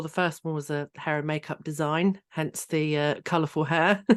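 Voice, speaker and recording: A woman with an English accent speaks at a moderate pace in a very deep, low pitch. The sound is dry and close with no echo, over a quiet background. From England, Hertfordshire. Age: 30s. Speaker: trauma healing coach. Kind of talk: interview.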